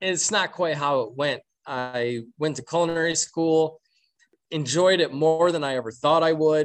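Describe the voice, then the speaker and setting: A man with an American accent and an unremarkable speaking voice talks at a moderate pace, his pitch fairly high with ordinary pitch variation. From Michigan, Flint. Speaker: pastry chef. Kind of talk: casual interview.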